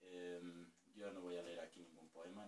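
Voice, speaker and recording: Audible room echo and light background noise surround a man speaking at a moderate pace in a very deep, low pitch with monotone, flat intonation. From Spain. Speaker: poet. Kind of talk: casual talk to camera. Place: home room.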